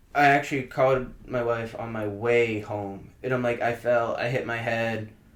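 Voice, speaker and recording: A man's medium-pitched voice in a monotone, flat intonation at a moderate pace, with audible room echo. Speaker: podcast guest. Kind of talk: casual chat.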